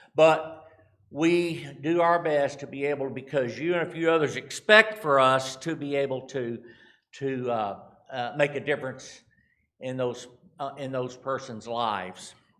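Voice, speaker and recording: Speaking fairly slowly with an American accent, a man has a fairly high pitch and ordinary pitch variation, with audible room echo. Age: 60s. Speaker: charity representative. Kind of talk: church mission talk. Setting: church. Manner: halting.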